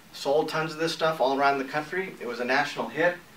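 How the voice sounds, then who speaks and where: A man with an American accent talks at a fairly quick pace and with ordinary pitch variation over noticeable background noise. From New England and Northern California. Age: 60s. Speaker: entrepreneur and newspaper publisher. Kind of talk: personal pitch video.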